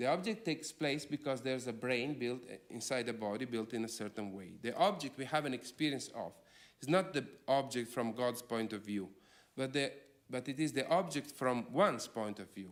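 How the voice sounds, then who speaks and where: With a non-native accent, a man talks at a moderate pace using lively intonation. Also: medium pitch for a man. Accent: foreign. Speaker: philosopher. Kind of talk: lecture.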